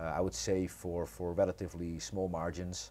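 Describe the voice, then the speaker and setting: A man with a Dutch accent speaks at a very deep, low pitch with a dark, mellow tone. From Netherlands. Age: 30s. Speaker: entrepreneur. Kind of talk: podcast interview.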